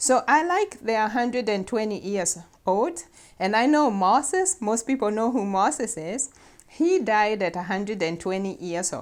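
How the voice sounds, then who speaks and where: This is a normal speaking voice at a moderate pace with lively intonation. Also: woman, fairly high pitch for a woman. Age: 50s. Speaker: nurse practitioner and health talk host. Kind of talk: talk to camera on faith and health.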